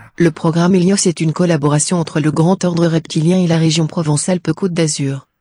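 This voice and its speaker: Putting on a robotic character voice, a man speaks high-pitched and deadpan at a fairly quick pace with hardly any pauses. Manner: deadpan, flat.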